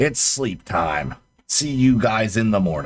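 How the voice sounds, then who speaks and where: A man puts on a raspy, gruff character voice, speaking at a fairly slow pace with very wide pitch swings. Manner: commanding.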